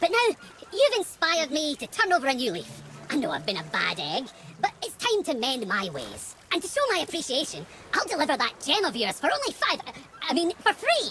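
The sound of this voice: In a cartoonish character voice with a bright, sharp tone and very wide pitch swings, the speaker goes at a fairly quick pace with few pauses over faint background noise.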